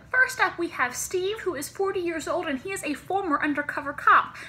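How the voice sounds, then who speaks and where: Using a raised, projected voice, a woman speaks at a fairly quick pace. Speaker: vlogger. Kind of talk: casual vlog chat. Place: home room. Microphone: phone near.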